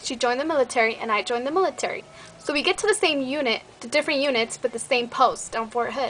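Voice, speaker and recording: A woman's high, raised, projected voice in an animated tone at a very fast pace. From Mexico (Michoacán), raised in US. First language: Spanish. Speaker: beauty vlogger, army soldier. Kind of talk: casual vlog chat.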